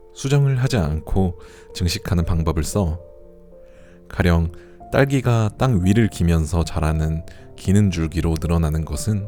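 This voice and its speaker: A man speaks in a very deep, low voice at a fairly slow pace, his loudness very even. Music plays in the background. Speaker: audiobook narrator. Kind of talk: audiobook reading for sleep. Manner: soft, calm.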